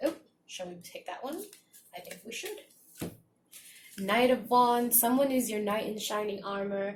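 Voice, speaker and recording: The soft-spoken voice moves at a moderate pace with ordinary pitch variation, big swings in loudness and long, frequent pauses. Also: woman, fairly high pitch for a woman. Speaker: tarot reader. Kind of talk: tarot reading to camera.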